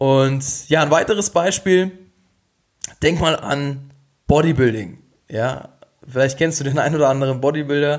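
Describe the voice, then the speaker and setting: Talking at a moderate pace with long, frequent pauses, a man uses a fairly high pitch, ordinary pitch variation and an animated tone. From Bavaria, Regensburg. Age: 20s. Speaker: health coach, podcast host. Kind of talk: solo podcast monologue.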